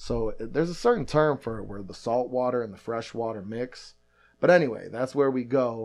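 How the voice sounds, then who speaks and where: A man speaks in a plain, everyday voice at medium pitch and a moderate pace, with ordinary pitch variation. His loudness swings widely against a quiet background. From Michigan and deep south Louisiana, US. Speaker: hardcore punk band member. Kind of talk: casual chat. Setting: in person at the host's house.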